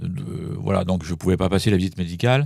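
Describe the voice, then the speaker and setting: Recorded with a dry, close sound and no echo, a man speaks with a very deep, low pitch, a dark, mellow tone, and lively intonation. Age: 70s. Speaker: forensic psychologist. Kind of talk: interview. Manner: hesitant, many fillers.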